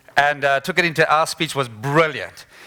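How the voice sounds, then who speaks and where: A man is talking. He has a bright, sharp tone. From South Africa. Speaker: motivational speaker. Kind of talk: conference talk.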